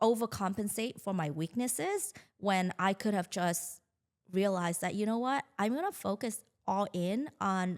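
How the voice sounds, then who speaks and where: At a fairly slow pace, a woman speaks with a Vietnamese accent. Her pitch variation is ordinary. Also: very clean recording, silent background. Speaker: marketing agency founder. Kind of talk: podcast interview.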